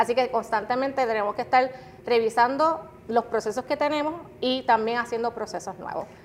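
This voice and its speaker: Against noticeable background noise, a woman with a high pitch talks at a fairly quick pace with ordinary pitch variation. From Puerto Rico (Guayama). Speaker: customer experience director. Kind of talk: interview.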